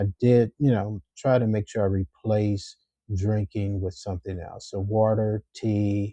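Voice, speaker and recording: A man with a normal speaking voice talks at a fairly slow pace and fairly low pitch. His intonation is fairly even, and the sound is dry and close with no echo. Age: 60s. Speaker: YouTuber, retiree sharing health tips. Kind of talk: casual vlog monologue. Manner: frequent filler words and self-repeats.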